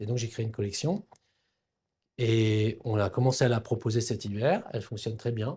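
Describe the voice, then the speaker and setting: Over a silent background on a very clean recording, a man with a dark, mellow, somewhat breathy tone talks at medium pitch and a moderate pace, with fairly even intonation and long, frequent pauses. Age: 60s. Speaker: cartoonist and brand founder. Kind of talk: interview conversation. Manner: hesitant, many fillers and repetitions.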